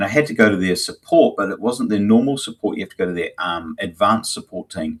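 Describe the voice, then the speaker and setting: In a very clean recording with a silent background, a man talks with a New Zealand accent. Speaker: agency owner, live show co-host. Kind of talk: casual chat. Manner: halting, many fillers.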